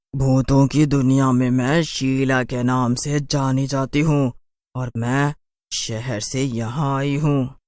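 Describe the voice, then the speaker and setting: A man uses a cartoonish character voice at medium pitch. His delivery is fairly slow and monotone, with flat intonation. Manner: haughty, mocking, cackling.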